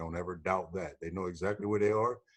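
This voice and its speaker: Pitch moving in an ordinary way, a man with a plain, everyday voice talks fairly quickly. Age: 60s. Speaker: fatherhood program operator. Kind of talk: panel discussion.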